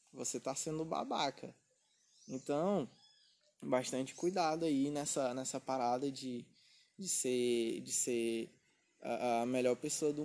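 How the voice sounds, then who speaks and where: Against a quiet background, a man with an unremarkable speaking voice talks at a fairly slow pace and a fairly high pitch, with ordinary pitch variation. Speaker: podcast host and writer. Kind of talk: casual chat.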